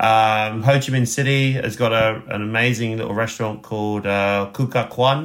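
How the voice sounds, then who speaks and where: With a southern English accent, a man at a fairly low pitch speaks at a moderate pace in fairly even intonation. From southeast England, West Sussex. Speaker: chef and restaurant owner. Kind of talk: interview.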